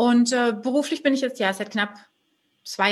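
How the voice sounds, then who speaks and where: A woman talks at a fairly quick pace. Her tone is bright and sharp, with fairly even intonation. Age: 30s. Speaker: entrepreneur, web and branding agency owner. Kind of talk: interview.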